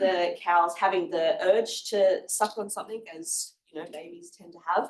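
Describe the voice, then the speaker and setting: A woman with an Australian accent. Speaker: honours student presenter. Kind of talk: research presentation.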